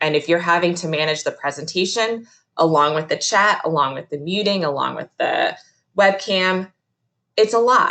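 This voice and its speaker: Loud and fairly low in pitch, a woman speaks at a moderate pace with ordinary pitch variation. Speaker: museum educator. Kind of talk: virtual presentation. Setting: video call. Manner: animated.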